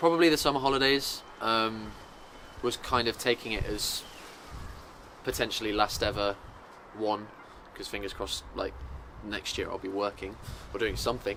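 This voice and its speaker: A man with an English accent, medium pitch and ordinary pitch variation, at a moderate pace with long, frequent pauses. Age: 20s. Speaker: musical theatre student. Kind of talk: interview. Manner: casual, hesitant with fillers.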